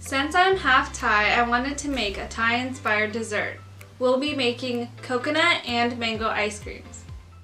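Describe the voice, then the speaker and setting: A woman talks at a moderate pace while faint music plays behind her. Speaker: home cooking vlogger. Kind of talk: casual vlog chat. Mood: friendly, cheerful. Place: home room.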